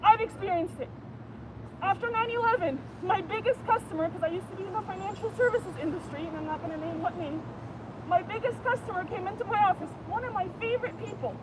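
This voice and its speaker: A woman at a very fast pace, with big swings in loudness over noticeable background noise. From Canada. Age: 30s. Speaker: passerby at a protest. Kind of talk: heated debate. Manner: animated.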